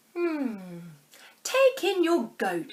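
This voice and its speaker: A woman's put-on character voice, extremely high in pitch, with very wide pitch swings. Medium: read story. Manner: calm, deliberate, musing.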